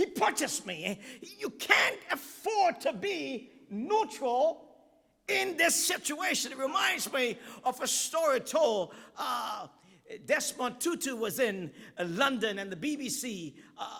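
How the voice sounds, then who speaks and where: A man projects a raised voice at an extremely high pitch, swinging very widely while speaking very slowly. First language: not English. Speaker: guest preacher. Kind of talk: sermon. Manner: halting at times, repeats words.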